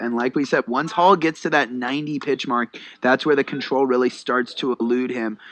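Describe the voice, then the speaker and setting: This is an unremarkable speaking voice from a man with medium pitch and fairly even intonation. He talks at a moderate pace in a dry, close sound with no echo. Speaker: baseball color commentator. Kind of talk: live radio baseball color commentary.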